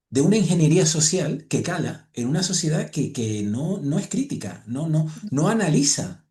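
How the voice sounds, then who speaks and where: At a moderate pace with hardly any pauses, a man speaks in a dark, mellow tone with vocal fry. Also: fairly high pitch for a man, lively intonation. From Spanish islands (Balearic or Canary). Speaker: podcast host. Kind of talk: casual chat.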